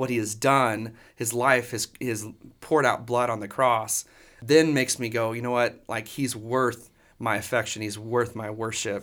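In a Texan accent, a man talks at a moderate pace and medium pitch with monotone, flat intonation, on a very clean recording with a silent background. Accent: Texan American. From Texas, Dallas area. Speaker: worship pastor. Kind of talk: casual interview.

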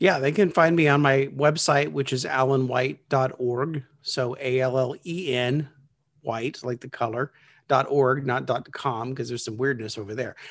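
A man speaks in an unremarkable speaking voice at medium pitch and a moderate pace. His pitch varies in an ordinary way, and the recording is very clean with a silent background. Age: 50s. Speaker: small groups consultant. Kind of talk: interview.

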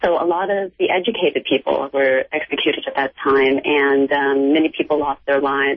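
In an American accent, a woman with a very deep, low voice talks at a fairly quick pace with ordinary pitch variation, very even loudness and hardly any pauses. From United States. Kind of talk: radio interview.

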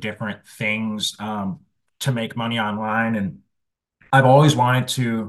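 An unremarkable speaking voice moves at a fairly slow pace over a quiet background. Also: man. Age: 30s. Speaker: music marketing agency founder. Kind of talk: interview.

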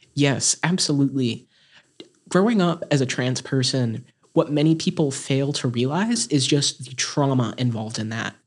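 A man with a plain, everyday voice speaks in an American accent at a moderate pace with ordinary pitch variation. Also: fairly high pitch for a man. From North Carolina, Caldwell County. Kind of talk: interview.

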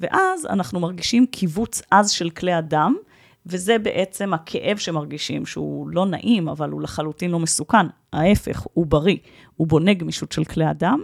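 This woman's pitch is fairly low, with ordinary variation. Vocal fry runs through her voice. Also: moderate pace, very clean recording, silent background. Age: 40s. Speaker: health expert and workshop leader. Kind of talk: interview.

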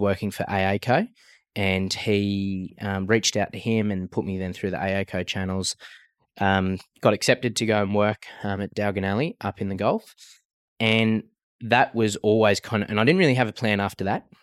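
A man with an Australian accent at a moderate pace, fairly low in pitch with fairly even intonation, on a very clean recording with a silent background. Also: dry, close sound with no echo. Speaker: cattle farmer and business founder. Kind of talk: interview.

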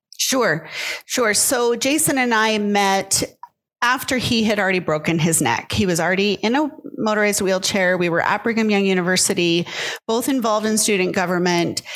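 An ordinary speaking voice from a woman, medium in pitch, moderate in pace, with ordinary pitch variation and very even loudness. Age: 50s. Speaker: author and grief coach. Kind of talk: interview.

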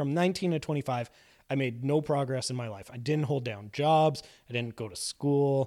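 In a very clean recording with a silent background, a man with a Canadian accent speaks at a moderate pace in a dark, mellow tone, with a fairly high pitch and ordinary pitch variation. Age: 30s. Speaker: improv comedian in recovery. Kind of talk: casual interview. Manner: laughs often.

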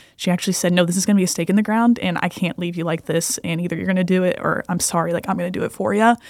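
A woman's fairly low voice at a very fast pace with hardly any pauses. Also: fairly even intonation. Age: 20s. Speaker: pastor. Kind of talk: casual chat.

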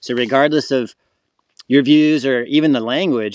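A man with an American accent at medium pitch, fairly even intonation, dry, close sound with no echo. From US South, Florida. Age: 40s. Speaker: wildlife photographer. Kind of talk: casual chat. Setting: outdoors, in the woods.

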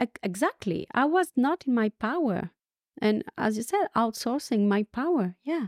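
At a moderate pace, a woman with a fairly high pitch makes very wide pitch swings while keeping her loudness very even, in a dry, close recording with no echo. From France. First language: French. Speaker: leadership coach. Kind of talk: interview conversation. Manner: energetic, laughs often.

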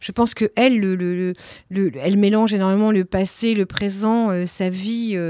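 On a very clean recording with a silent background, a woman with a dark, mellow tone speaks at a medium pitch, fairly slowly and with fairly even intonation. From France, Nantes. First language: Italian (speaking French). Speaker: theatre director. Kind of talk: interview. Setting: office. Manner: hesitant, many fillers.

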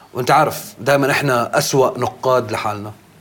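A man at a medium pitch over noticeable background noise. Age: 40s. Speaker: rapper. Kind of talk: casual chat.

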